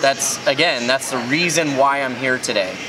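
Music comes through clearly in the background. Over it, a man talks. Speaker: beer reviewer. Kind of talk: casual vlog review. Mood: enthusiastic. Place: factory.

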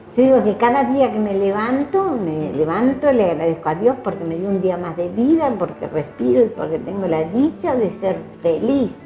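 A woman at medium pitch, moderate pace and very wide pitch swings, with hardly any pauses and noticeable background noise. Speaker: retiree and community volunteer. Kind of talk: interview. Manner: cheerful.

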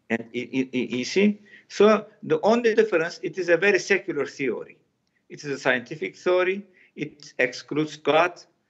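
Here a man talks at a moderate pace in a high pitch. His intonation is lively, and his loudness swings widely. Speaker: professor. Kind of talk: interview. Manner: halting.

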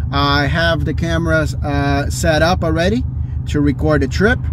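A man's voice comes through with a dry sound with no echo, over noticeable background noise. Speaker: car enthusiast vlogger. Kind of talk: casual vlog chat. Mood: excited, upbeat. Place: car. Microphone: phone near.

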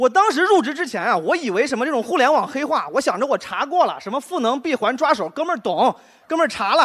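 A man's extremely high voice at a very fast pace, with very wide pitch swings, against a quiet background. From Henan, China. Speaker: stand-up comedian. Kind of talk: stand-up. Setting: stage with audience. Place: stage. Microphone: handheld.

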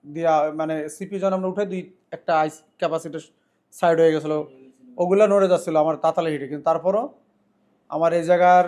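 A man with a high-pitched voice speaks in a fairly even intonation. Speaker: mobile repair technician and trainer. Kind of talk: tutorial. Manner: soft-spoken.

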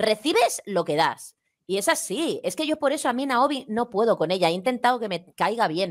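A woman with a fairly high pitch speaks at a moderate pace, her pitch swinging very widely against a quiet background. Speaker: YouTuber; guest commentator. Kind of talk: casual chat. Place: home room. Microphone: headset.

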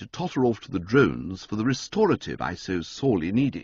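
A man talks at a fairly quick pace with very wide pitch swings and vocal fry. The sound is dry with no echo, and the background is quiet. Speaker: audiobook narrator. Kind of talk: audiobook reading. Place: studio.

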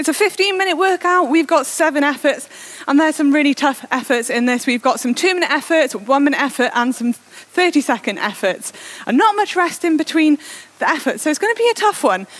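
A woman talks at a fairly quick pace in a high voice with very wide pitch swings. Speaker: indoor cycling coach. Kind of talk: workout instruction. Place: home room. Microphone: headset.

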